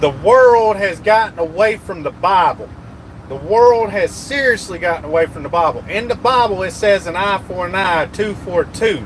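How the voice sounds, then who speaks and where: With noticeable background noise, a man speaks at a high pitch in a Southern US accent. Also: ordinary pitch variation, moderate pace. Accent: Southern US (Georgia). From US South, rural Georgia. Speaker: truck driver livestreamer. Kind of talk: live stream chat. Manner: animated.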